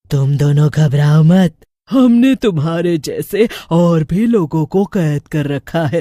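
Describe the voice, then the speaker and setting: A man uses a cartoonish character voice with a high pitch, delivered at a fairly slow pace. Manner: gleeful.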